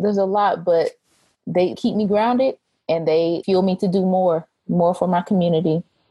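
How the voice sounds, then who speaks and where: A woman with an American accent talks at a moderate pace in a normal speaking voice. Her medium pitch stays fairly even in intonation, and her loudness is very even. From Oklahoma. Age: 20s. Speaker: PhD student, family history researcher. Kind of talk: interview.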